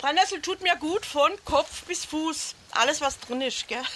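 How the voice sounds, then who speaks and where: At a fairly slow pace, a woman speaks in a raised, projected voice. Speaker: herb guide. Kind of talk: guided herb walk talk. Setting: outdoors.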